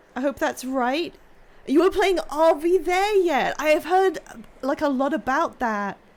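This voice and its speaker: A high-pitched woman speaks at a fairly slow pace with lively intonation. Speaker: streamer. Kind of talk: casual chat.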